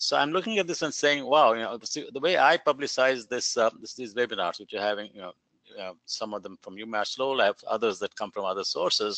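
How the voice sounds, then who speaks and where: A man's medium-pitched voice, very fast and lively in intonation, with big swings in loudness and a dry, close sound with no echo. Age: 70s. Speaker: webinar host. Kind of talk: Q&A discussion. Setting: webinar. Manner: halting.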